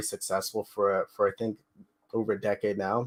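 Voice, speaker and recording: The recording is very clean, with nothing audible in the background. A man speaks with fairly even intonation. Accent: slight Canadian. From Canada. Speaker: crypto project team member. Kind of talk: live AMA interview. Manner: casual, filler-heavy.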